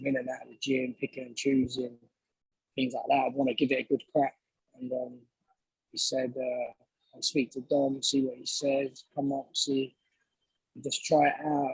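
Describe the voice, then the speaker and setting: A man with a London accent speaks with long, frequent pauses, the sound dry and close with no echo. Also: moderate pace. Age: 20s. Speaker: professional boxer. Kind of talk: interview.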